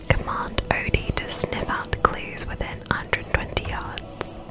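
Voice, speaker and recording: Whispering at a very slow pace, a woman speaks in a relaxed tone. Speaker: gaming ASMR streamer. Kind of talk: ASMR whispered gameplay commentary. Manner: whispered, soft, relaxed. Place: home room. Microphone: studio mic.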